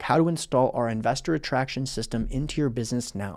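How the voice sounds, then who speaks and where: A man at a very fast pace, medium pitch with ordinary pitch variation, on a very clean recording with a silent background. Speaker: business coach. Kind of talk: sales pitch. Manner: animated.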